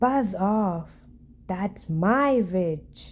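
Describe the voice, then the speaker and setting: Using a put-on character voice, a female-sounding voice at medium pitch comes out croaky and growling. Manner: rude, commanding.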